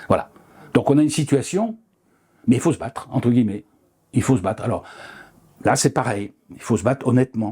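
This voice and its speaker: A man speaks at a fairly quick pace in a medium pitch with ordinary pitch variation and a dark, mellow tone. His voice is somewhat breathy, its loudness swings widely, and he leaves long, frequent pauses. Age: 70s. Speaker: retired osteopath. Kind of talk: interview. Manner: halting, many fillers.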